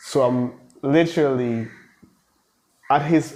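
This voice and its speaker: The tone is dark and mellow, with ordinary pitch variation. There is audible room echo. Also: man. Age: 20s. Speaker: basketball coach. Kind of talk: interview. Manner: animated.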